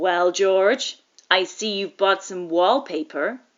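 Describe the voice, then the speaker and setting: Using a put-on character voice, a woman speaks at a medium pitch. Her pace is fairly slow, and her pitch varies in an ordinary way. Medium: read story. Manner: hearty, familiar.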